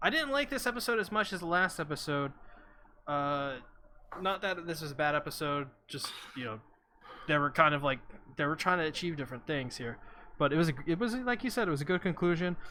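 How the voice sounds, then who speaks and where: Delivery is very fast, broken by long, frequent pauses. The intonation is lively and the tone bright and sharp. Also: man, fairly high pitch for a man. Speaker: anime podcast host. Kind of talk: casual chat. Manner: halting, stuttering.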